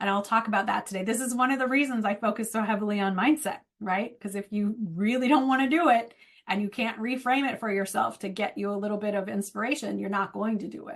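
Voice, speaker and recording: A woman speaks at a very fast pace and a fairly high pitch. Her voice is somewhat breathy, with ordinary pitch variation. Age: 40s. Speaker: book marketing coach. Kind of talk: webinar presentation. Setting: video call.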